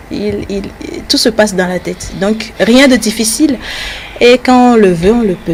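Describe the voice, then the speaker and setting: With long, frequent pauses, a woman talks at a fairly high pitch over noticeable background noise. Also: ordinary pitch variation, fairly slow pace. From Togo. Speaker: TV news presenter. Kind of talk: interview. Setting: at home.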